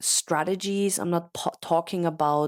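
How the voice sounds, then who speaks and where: In a dry, close sound with no echo on a very clean recording with a silent background, a woman with a German accent speaks at a fairly low pitch with ordinary pitch variation. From Austria. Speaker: podcast host, business coach. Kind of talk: casual monologue. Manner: unscripted, some hesitations.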